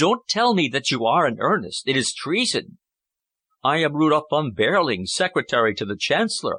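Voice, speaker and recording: A man puts on a hoarse character voice with a fairly high pitch and very wide pitch swings, speaking at a moderate pace in a dry, close sound with no echo. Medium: read story. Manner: hoarse, low, agitated.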